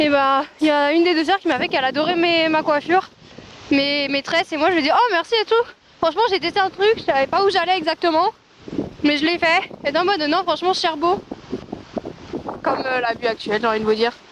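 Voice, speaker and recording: Loud and extremely high-pitched, a woman talks at a fairly quick pace with long, frequent pauses amid noticeable background noise. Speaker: travel vlogger. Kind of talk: casual vlog narration. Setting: outdoors in Iceland. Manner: animated, rambling with many fillers.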